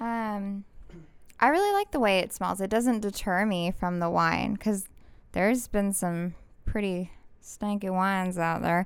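This woman has a medium pitch and fairly even intonation, speaking at a fairly slow pace. The recording is very clean, with a silent background. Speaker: bartender. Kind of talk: casual chat. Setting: studio. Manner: monotone, deadpan.

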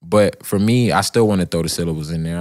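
On a very clean recording with a silent background, someone with an American accent speaks at a fairly quick pace. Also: man. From Florida (Miami, then Orlando). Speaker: rapper. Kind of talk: casual interview.

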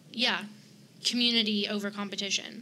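Fairly slow speech in a Southern US accent. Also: woman. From South Carolina (Greenwood, Columbia). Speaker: fashion blogger. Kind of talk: casual chat.

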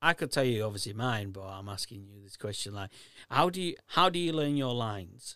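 A man speaks at a fairly quick pace and a medium pitch, with very wide pitch swings and big swings in loudness. The recording is very clean, the background silent. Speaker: podcast host. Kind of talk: casual chat.

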